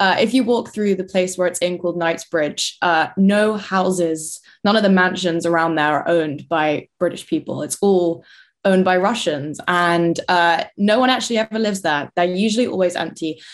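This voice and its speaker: In a London accent, the speaker keeps a moderate pace and ordinary pitch variation on a very clean recording with a silent background. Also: woman, fairly low pitch for a woman. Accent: southern English, London. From London, England. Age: 20s. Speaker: university student and political commentator. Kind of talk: interview.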